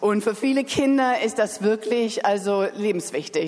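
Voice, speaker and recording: Amid noticeable background noise, a woman talks at a moderate pace in a fairly high pitch with ordinary pitch variation. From Germany, Berlin. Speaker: charity sponsorship coordinator. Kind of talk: announcement. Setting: church.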